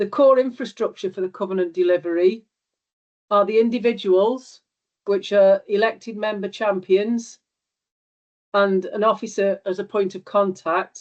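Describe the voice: A woman speaks at a fairly slow pace. Her pitch is medium. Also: fairly even intonation, slightly mellow tone.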